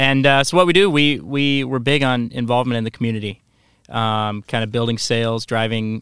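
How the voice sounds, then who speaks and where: Delivered at a fairly quick pace with fairly even intonation, the speech carries a Midwestern American accent on a very clean recording with a silent background, dry and close with no echo. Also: man. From Iowa, Quad Cities. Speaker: restaurant marketing employee. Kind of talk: casual chat. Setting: studio.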